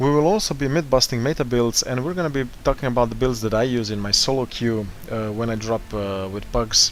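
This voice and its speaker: Speaking at a fairly quick pace with hardly any pauses, a man with a non-native accent uses a medium pitch and ordinary pitch variation. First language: not English. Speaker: gaming tutorial host. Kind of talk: gaming tutorial narration.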